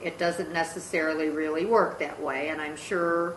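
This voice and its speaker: A woman's very deep, low voice comes through with audible room echo and noticeable background noise. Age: 60s. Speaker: podcast host, grandmother. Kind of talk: casual family podcast chat.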